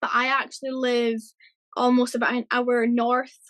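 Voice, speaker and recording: A woman with a Scottish accent speaks at a high pitch and a fairly slow pace. The sound is dry and close with no echo. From Scotland. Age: 30s. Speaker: cancer survivor. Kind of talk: interview.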